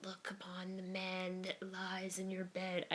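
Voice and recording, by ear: A hoarse, put-on character voice that sounds female speaks at a middle pitch and a fairly slow pace with monotone, flat intonation.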